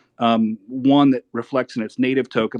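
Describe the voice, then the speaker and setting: Talking at a fairly quick pace, a man keeps a monotone, flat intonation in a dry, close sound with no echo. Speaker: lawyer asking a question. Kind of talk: Q&A in an audio chat room. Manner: fast.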